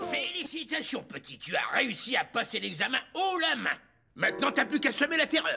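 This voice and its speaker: Moderate pace in a put-on character voice. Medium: fan dub. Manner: casual, slangy.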